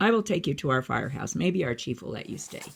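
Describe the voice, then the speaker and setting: Raspy and very fast, the put-on character voice swings very widely in pitch. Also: man, fairly high pitch for a man. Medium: read story. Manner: warm, friendly.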